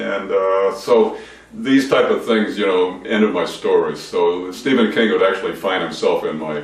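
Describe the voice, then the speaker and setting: A man speaks at a moderate pace, his voice carrying audible room echo amid noticeable background noise. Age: 70s. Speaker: author and depression survivor. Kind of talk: interview. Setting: video interview.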